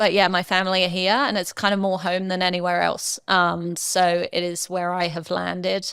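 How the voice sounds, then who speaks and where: A woman talks at a moderate pace and medium pitch, with hardly any pauses. Her intonation is monotone and flat, on a very clean recording with a silent background. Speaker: former professional golfer. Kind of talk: podcast interview. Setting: live podcast. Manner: many fillers (um).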